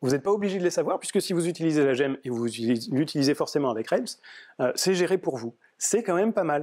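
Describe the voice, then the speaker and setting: Against a quiet background, the speaker goes at a fairly quick pace with lively intonation. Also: man. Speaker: software developer giving a meetup talk; conference speaker. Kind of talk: tech talk. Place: meeting room.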